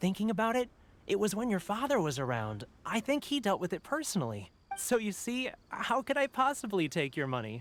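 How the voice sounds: A man's put-on character voice, high and fairly bright, with very wide pitch swings at a fairly quick pace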